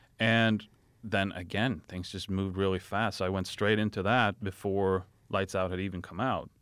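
A man with a Swedish accent speaks at a moderate pace in a fairly low, monotone voice. The recording is very clean, with a silent background. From Sweden. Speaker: film director. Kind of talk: casual chat. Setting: studio.

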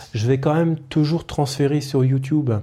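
Somewhat breathy and dark, mellow in tone, a man speaks at a fairly high pitch with fairly even intonation. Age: 30s. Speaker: IT technician and podcaster. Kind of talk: solo podcast monologue. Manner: hesitant, many fillers.

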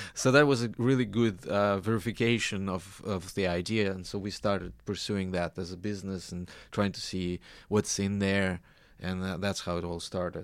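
The recording is very clean with a silent background. A man speaks at a moderate pace in a fairly low voice with fairly even intonation. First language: Russian. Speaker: business founder, software engineer. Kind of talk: radio interview. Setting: radio studio.

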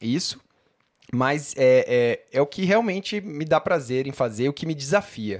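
On a very clean recording with a silent background, an unremarkable speaking voice moves with lively intonation. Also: man. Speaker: writer and podcast co-host. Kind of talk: casual chat.

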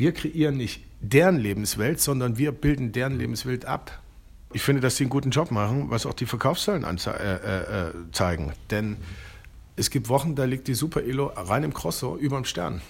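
A man with a medium pitch and vocal fry speaks with lively intonation at a moderate pace. He leaves long, frequent pauses. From eastern Germany, Leipzig. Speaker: magazine editor-in-chief. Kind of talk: interview. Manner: halting, many fillers.

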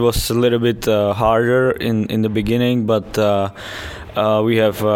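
Against noticeable background noise, a man with a Czech accent speaks at a moderate pace in a medium pitch with flat, monotone intonation. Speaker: ice hockey player. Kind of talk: interview. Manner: halting.

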